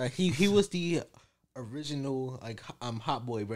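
The recording is very clean, with a silent background. A man with an unremarkable speaking voice and a fairly high pitch uses lively intonation. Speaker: college student, ROTC. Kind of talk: casual chat.

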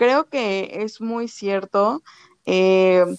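A woman speaks at medium pitch with ordinary pitch variation. The sound is dry and close, with no echo. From Mexico. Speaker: podcast host. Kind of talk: casual chat.

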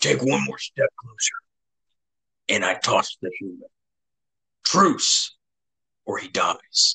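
A man uses a put-on character voice at a fairly slow pace, leaving long, frequent pauses. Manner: threatening.

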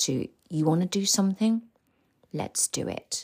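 The recording is very clean and the background silent. A woman talks with lively intonation. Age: 50s. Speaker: embodiment and healing coach, podcast host. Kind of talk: motivational solo monologue. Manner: animated.

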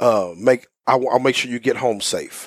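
A man speaks at a fairly slow pace with medium pitch and ordinary pitch variation, in an ordinary speaking voice. The recording is very clean with a silent background, and the sound is dry and close with no echo. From US South, Houston, Texas. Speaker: youth pastor. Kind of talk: interview. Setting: office.

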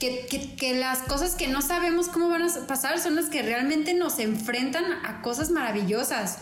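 A woman's high-pitched voice with lively intonation, very even loudness and hardly any pauses at a moderate pace, plus audible room echo and noticeable background noise. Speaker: podcast co-host, engineer. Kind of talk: casual chat. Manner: halting, many repetitions.

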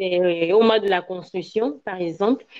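A woman speaks with a West African accent. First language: Ewe (speaking French). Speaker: slam poet and Ewe language professional. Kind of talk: interview.

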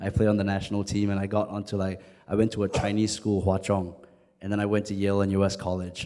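A man's dark, mellow voice at a very fast pace, with flat, monotone intonation. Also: fairly low pitch for a man, very clean recording, silent background. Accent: Singaporean. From Singapore. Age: 20s. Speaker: spoken word poet. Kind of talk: panel discussion. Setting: stage with audience.

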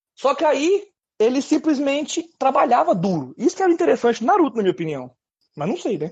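A man's extremely high voice at a fairly quick pace, with very wide pitch swings. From Brazil, Minas Gerais (Uberlândia). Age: 30s. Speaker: podcast co-host. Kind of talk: casual chat.

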